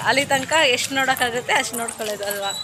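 A woman speaks in a raised, projected voice at a high pitch. Noticeable background noise runs beneath her. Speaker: vlogger. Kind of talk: casual vlog narration.

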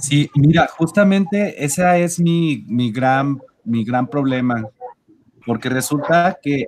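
Light background noise is present. A man speaks with ordinary pitch variation. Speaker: university professor. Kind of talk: casual discussion on a call. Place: home room.

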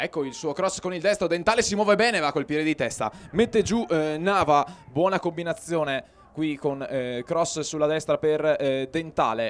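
An animated man with a fairly high pitch and ordinary pitch variation, over noticeable background noise. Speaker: sports commentator. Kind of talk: live football commentary. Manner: fast, clipped play-by-play, rattling off names, with hesitant 'eh' fillers; animated, urgent on chances.

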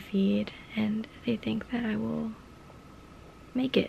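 Over light background noise, a woman speaks at a fairly slow pace. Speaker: vlogger. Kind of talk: casual vlog chat. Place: home room. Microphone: phone near.

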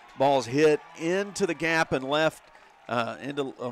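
A man with fairly even intonation takes things at a fairly slow pace while noticeable noise runs in the background. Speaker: radio sports announcer. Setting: ballpark press box, radio broadcast. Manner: polished, fluent broadcaster delivery.

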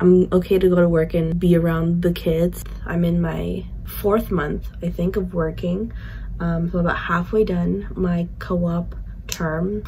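Behind the speech sits light background noise. The speaker is a woman. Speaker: co-op student tutor. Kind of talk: casual vlog chat. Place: home room. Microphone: phone near.

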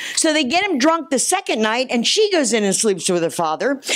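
With an American accent, a woman speaks at a moderate pace in a high voice that makes very wide pitch swings. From New Jersey. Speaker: travelling pastor. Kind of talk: sermon. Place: church. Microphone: handheld.

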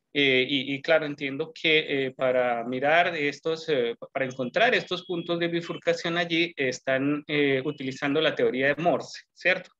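With an unremarkable speaking voice, a man talks fairly slowly at a fairly high pitch with ordinary pitch variation. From Colombia. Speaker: mathematician in audience. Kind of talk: Q&A question. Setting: video call. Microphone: video call.

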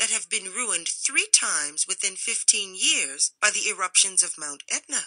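Lively intonation in a natural voice reading aloud

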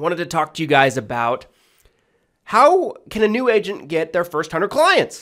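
A man at a fairly quick pace with very wide pitch swings, over a quiet background. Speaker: insurance agent and sales trainer; insurance agent trainer. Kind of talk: tutorial. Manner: casual, filler-heavy. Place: home room. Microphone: studio mic.

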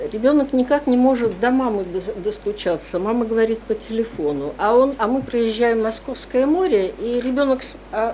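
Lively intonation carries the speech along at a moderate pace against light background noise. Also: woman, fairly high pitch for a woman. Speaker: university researcher. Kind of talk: academic discussion question. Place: meeting room. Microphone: podium.

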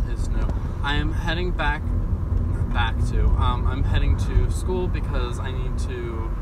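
Loud background noise surrounds a man speaking at a moderate pace, his voice dry with no echo. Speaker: student vlogger. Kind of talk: casual vlog chat. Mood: relaxed, chatty. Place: car. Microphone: phone near.

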